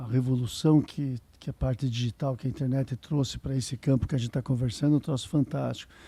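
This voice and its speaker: Somewhat breathy and dark, mellow in tone, a man speaks at a very fast pace. His intonation is fairly even. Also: medium pitch for a man. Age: 60s. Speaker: ophthalmologist and professor. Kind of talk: interview.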